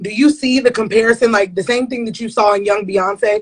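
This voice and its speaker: Her voice is an ordinary speaking voice, fairly high for a woman. She keeps a fairly even intonation. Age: 20s. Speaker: interviewer. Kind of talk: interview. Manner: casual, slangy.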